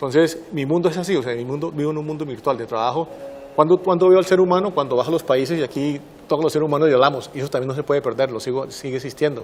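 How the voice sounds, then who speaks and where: Speaking with a Santander Colombian accent at a very fast pace, a man talks in a fairly high pitch with ordinary pitch variation over noticeable background noise. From Colombia, Santander. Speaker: systems engineer, distinguished alumnus. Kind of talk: interview.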